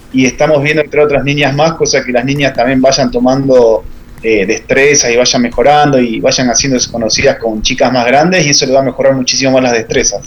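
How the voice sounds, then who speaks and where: This man has a medium pitch and fairly even intonation. Noticeable noise sits in the background. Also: fairly quick pace. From Argentina, Rafaela (Santa Fe province). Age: 30s. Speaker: women's rugby coach and organizer. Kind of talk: interview.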